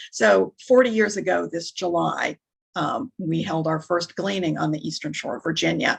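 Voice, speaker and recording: Marked by vocal fry, a woman's fairly low voice moves in very wide pitch swings. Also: moderate pace. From northern Minnesota. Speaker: nonprofit worker. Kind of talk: interview.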